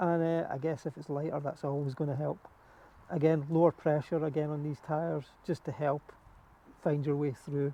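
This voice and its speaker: A man with a Scottish accent, fairly high-pitched, in a dark, mellow tone and a flat monotone. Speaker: cycling youtuber. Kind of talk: tutorial. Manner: fast.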